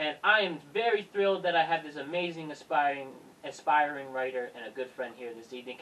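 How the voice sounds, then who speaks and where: A man speaks fairly quickly in a normal speaking voice, fairly high-pitched, with lively intonation. His loudness swings widely. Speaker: podcast host. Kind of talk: casual podcast conversation.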